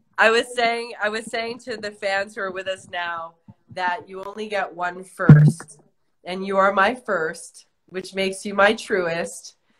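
A woman at a fairly slow pace with ordinary pitch variation, music in the background. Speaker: actress, director hosting a live chat. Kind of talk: casual live chat. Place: home room. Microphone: phone near.

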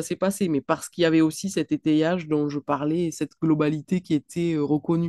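A dark, mellow tone carries a strong southwestern French accent with fairly even intonation. The sound is dry with no echo, over a quiet background. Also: woman. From southwestern France. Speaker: clinical psychologist and author; guest. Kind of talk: online book talk.

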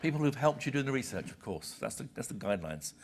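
A man is speaking. He has a British accent. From Britain. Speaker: senior journal publisher; visiting publisher lecturer. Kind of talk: lecture. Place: hall.

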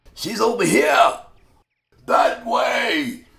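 Putting on a cartoonish character voice, a man speaks at an extremely high pitch. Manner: shouting, eager, falsely friendly.

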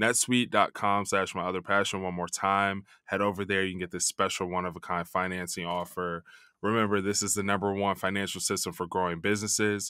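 Dry and echo-free, a man's fairly low, bright and sharp voice, monotone and flat, at a fairly quick pace. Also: quiet background. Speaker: podcast host. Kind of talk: sponsor ad read. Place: studio. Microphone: studio mic.

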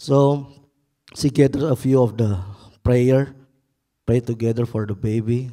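In a quiet background, a man with an Indonesian accent speaks at a fairly slow pace, his tone dark and mellow and his intonation fairly even. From Indonesia, Makassar. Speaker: pastor. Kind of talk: testimony. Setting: church. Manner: halting. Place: church. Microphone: handheld.

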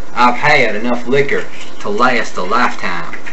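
A man puts on a drawling character voice in a South Carolina accent at a moderate pace, over loud background noise. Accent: South Carolina Southern, stretched short A. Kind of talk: tutorial. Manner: drawling, demonstrating a regional accent.

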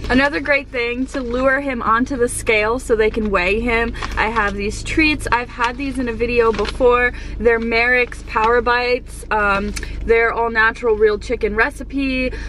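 With light background noise and a dry sound with no echo, a woman talks at a moderate pace with fairly even intonation. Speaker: pet vlogger. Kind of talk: casual vlog chat. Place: car. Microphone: phone near.

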